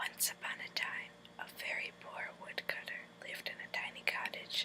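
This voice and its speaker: Noticeable noise sits behind a woman who is whispering. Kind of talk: whispered storybook reading for relaxation. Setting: recorded in bed at night. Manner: whispered, soft.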